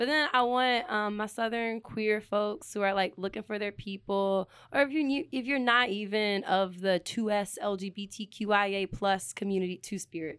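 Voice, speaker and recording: On a very clean recording with a silent background, a woman in a Richmond accent talks at a moderate pace and medium pitch, with ordinary pitch variation and hardly any pauses. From Richmond, Virginia, US South. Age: 20s. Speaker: community organizer. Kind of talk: casual interview chat.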